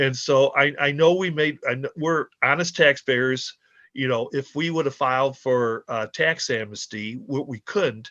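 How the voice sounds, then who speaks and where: A man speaks at a medium pitch with a bright, sharp tone. The sound is dry and close with no echo and a quiet background. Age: 60s. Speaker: taxpayer appealing a tax decision. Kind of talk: public testimony at a hearing. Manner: halting, many false starts.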